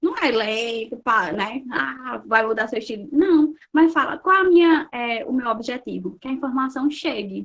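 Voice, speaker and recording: With hardly any pauses, a woman talks at a fairly slow pace. Her high-pitched voice carries lively intonation. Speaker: social worker and lecturer. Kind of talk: online lecture. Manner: animated.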